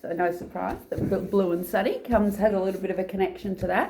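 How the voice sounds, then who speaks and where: A woman speaks at a moderate pace. Background noise is noticeable behind her. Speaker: channel host, interviewer. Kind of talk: casual talk to camera.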